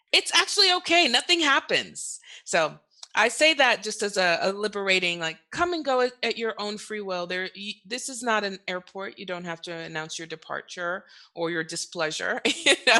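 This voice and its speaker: A woman's bright, sharp voice at a medium pitch, moderate in pace, with very wide pitch swings and big swings in loudness. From Middle East (Dubai, Saudi Arabia, Qatar). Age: 30s. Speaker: estate planning attorney. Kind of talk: podcast interview.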